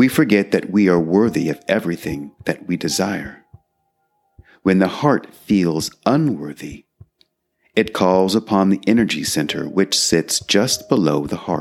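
A man's very deep, low voice at a fairly slow pace, with lively intonation and a calm, soothing tone, over music in the background. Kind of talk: guided meditation. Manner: slow, calm, soothing pacing with long pauses; gentle, instructive, counting aloud evenly.

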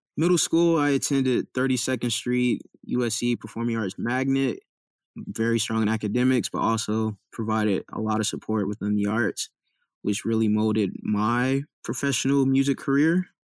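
A man speaks at a moderate pace in a normal speaking voice, medium in pitch with ordinary pitch variation, the sound dry and close with no echo on a very clean recording over a silent background. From Compton, California. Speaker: college student. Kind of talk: interview.

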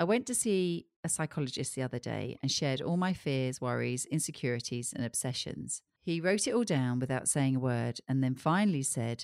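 A woman with a very deep, low pitch speaks at a moderate pace with lively intonation. The recording is very clean, with a silent background and a dry, close sound with no echo. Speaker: psychologist and podcast host. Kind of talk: casual chat.

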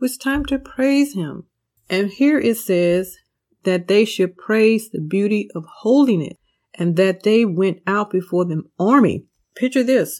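A woman with a plain, everyday voice at medium pitch, lively intonation, and a fairly slow pace, on a very clean recording with a silent background. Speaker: Bible teacher and podcast host. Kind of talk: devotional Bible study teaching. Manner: earnest, warm, preacherly.

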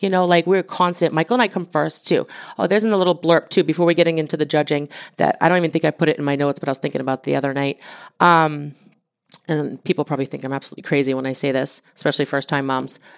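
Talking at a very fast pace, a woman with an American accent has a very deep, low pitch and ordinary pitch variation, in a very clean recording with a silent background and a dry, close sound with no echo. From New England (Massachusetts small town). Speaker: business co-owner and entrepreneur's wife. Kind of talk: casual interview testimony.

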